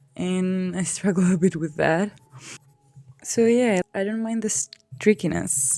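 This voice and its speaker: Speaking at a fairly slow pace with a non-native accent, this voice shows ordinary pitch variation and long, frequent pauses. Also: woman, medium pitch for a woman. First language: not English. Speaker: art youtuber. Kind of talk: casual talk while drawing. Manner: halting.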